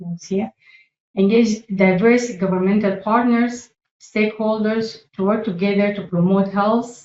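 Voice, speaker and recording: Using fairly even intonation and a medium pitch, a woman with a slight non-native accent talks at a fairly slow pace. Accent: slight foreign. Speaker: public health staff presenter. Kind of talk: presentation. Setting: meeting room. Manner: halting, with frequent fillers.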